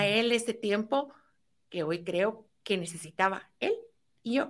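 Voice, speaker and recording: Ordinary pitch variation shapes speech delivered at a fairly slow pace. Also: woman. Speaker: entrepreneur. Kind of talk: interview.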